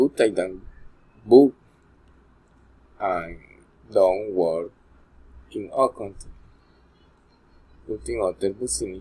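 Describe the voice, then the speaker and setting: A man's very slow, somewhat breathy speech in a dark, mellow tone, with long, frequent pauses, very wide pitch swings and big swings in loudness. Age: 40s. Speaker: English learner. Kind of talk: class assignment presentation. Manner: halting.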